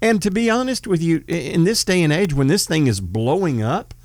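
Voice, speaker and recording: At a moderate pace, a man with a Texan accent speaks with very wide pitch swings, in a very clean recording with a silent background. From Northeast Texas. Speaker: podcast host, former police officer. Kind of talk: casual political talk.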